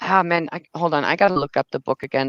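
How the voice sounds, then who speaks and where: A woman with a German accent, dry and close with no echo, against a quiet background. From Germany. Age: 30s. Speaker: livestreamer. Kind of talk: casual chat. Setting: livestream. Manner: halting, many repeated words.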